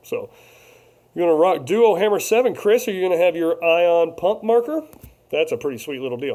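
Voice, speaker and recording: A loud man with a dark, mellow tone at a fairly quick pace. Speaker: paintball vlogger. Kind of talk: casual live-stream chat.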